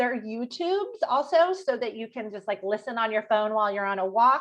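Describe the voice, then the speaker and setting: Intonation here is lively. The pace is very fast. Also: woman. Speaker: health and nutrition coach. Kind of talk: online workshop pitch.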